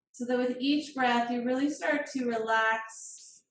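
Light background noise and audible room echo surround a woman's high-pitched voice. Her intonation stays fairly even. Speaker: yoga teacher. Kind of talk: guided yoga class and relaxation. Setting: video call. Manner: calm, soothing, slow. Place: home room. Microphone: camera far.

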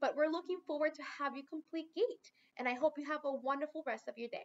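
At a fairly quick pace, a woman speaks. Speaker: program instructor. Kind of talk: instructional talk. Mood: friendly, upbeat. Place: office. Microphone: webcam.

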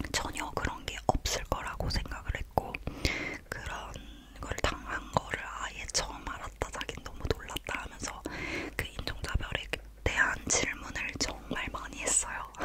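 A woman whispers at a fairly slow pace. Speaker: ASMR creator. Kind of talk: casual travel story talk. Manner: whispered. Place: home room. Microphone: studio mic.

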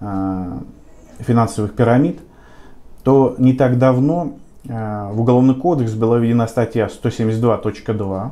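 His tone is dark and mellow. The man's pitch varies in an ordinary way. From Volgograd, southern Russia; Russia. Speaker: lawyer. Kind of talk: interview. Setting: office. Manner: halting, with fillers. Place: meeting room. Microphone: camera far.

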